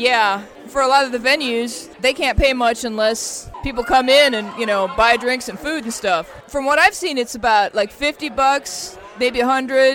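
A woman speaks fairly slowly in a high voice with ordinary pitch variation. Noticeable background noise runs underneath. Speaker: radio host. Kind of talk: radio show interview and banter.

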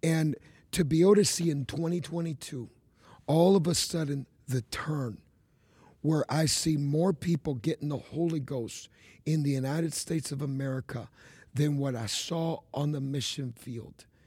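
Man's fairly high-pitched voice, dark and mellow, somewhat breathy, at a moderate pace with ordinary pitch variation. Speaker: evangelist. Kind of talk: casual chat.

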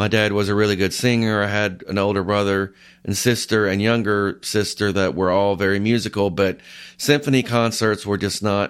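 With an American accent and a normal speaking voice, a man talks using fairly even intonation. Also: very clean recording, silent background. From US South, north Georgia. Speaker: orchestral oboist. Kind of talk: interview.

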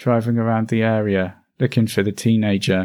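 A man with a plain, everyday voice at a medium pitch, moderate pace and fairly even intonation, on a very clean recording with a silent background. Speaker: true crime podcaster. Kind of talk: true-crime narration, scripted storytelling. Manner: measured, even-paced, sombre; formal and factual.

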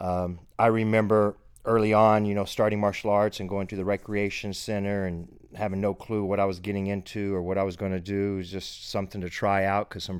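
A man with a Texan accent, fairly low in pitch, his intonation monotone and flat. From Texas, Abilene. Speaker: martial arts instructor. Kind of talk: podcast monologue. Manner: casual.

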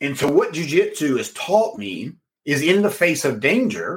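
A man speaks with vocal fry. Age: 40s. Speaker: business and sales coach, podcast host. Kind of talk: solo podcast talk, coaching pitch. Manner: animated.

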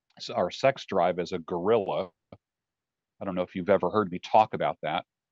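Against a quiet background in a dry, close recording with no echo, a man talks at a fairly quick pace with lively intonation. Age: 60s. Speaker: life coach. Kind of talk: casual chat.

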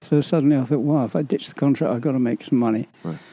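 There is a dark, mellow tone to this man's medium-pitched voice, which varies in pitch in an ordinary way over a quiet background. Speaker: retired stuntman. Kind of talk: interview.

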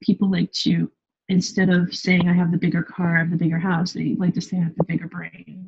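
Somewhat breathy and medium in pitch, a woman's voice comes through with a dry, close sound and no echo. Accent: Californian. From California. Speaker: expat blogger living in Paris. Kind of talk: casual interview chat.

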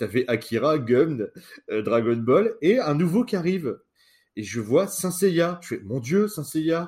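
Recorded very cleanly against a silent background, a man speaks very slowly at a fairly high pitch with very wide pitch swings. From northern France. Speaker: podcast co-host. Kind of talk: casual chat.

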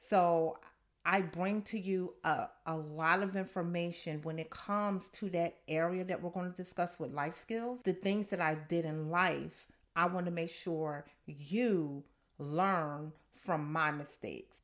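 A woman's fairly low voice, fairly slow and fairly even in intonation. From Camden, New Jersey. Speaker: podcast host, financial coach and therapist. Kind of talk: podcast monologue.

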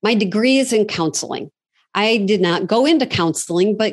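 Against a quiet background, a woman with an American accent speaks in a normal speaking voice at a moderate pace with ordinary pitch variation. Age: 50s. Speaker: franchise consultant. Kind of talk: interview.

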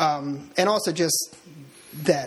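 Noticeable background noise behind a man speaking at a fairly high pitch. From Delaware. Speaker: author and real estate agent. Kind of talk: casual interview.

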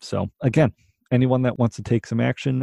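A man speaks at a fairly quick pace in a somewhat breathy voice with a dark, mellow tone, recorded dry and close with no echo. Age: 20s. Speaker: podcast host, real estate investor. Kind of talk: solo podcast monologue. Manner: halting, with filler words and repetitions.

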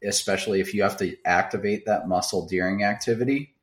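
Fairly low in pitch, a man with an American accent speaks in an unremarkable speaking voice with fairly even intonation. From US Midwest, south central Wisconsin. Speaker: chiropractor. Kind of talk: interview.

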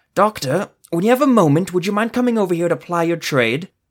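Putting on a character voice, a man talks very fast in a strained, high pitch with lively intonation. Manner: wry, courteous under strain.

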